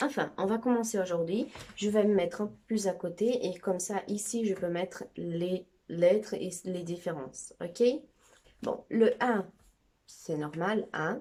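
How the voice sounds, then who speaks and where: At a very slow pace, a woman speaks with a dark, mellow tone. Her pitch is medium, with ordinary variation. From Brazil. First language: Brazilian Portuguese (speaking French). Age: 20s. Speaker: amateur language teacher. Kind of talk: tutorial. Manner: casual, chatty.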